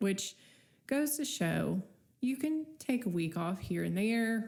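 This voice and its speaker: Her voice comes out somewhat breathy as she talks very slowly. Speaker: podcast host. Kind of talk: casual solo podcast talk. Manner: casual, conversational.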